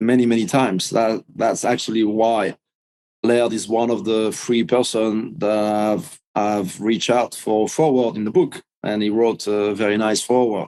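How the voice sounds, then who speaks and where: The voice moves at a fairly slow pace with a dark, mellow tone. Its intonation stays fairly even. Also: man, medium pitch for a man. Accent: French. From France. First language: French. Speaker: big wave surfer, author. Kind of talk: interview. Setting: podcast interview.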